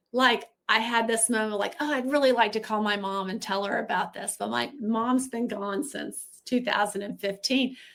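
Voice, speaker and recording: With an American accent and a normal speaking voice, a woman talks at a moderate pace and a fairly high pitch, with fairly even intonation and hardly any pauses, in a very clean recording with a silent background. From Texas. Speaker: recovery guest, social worker. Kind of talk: casual chat.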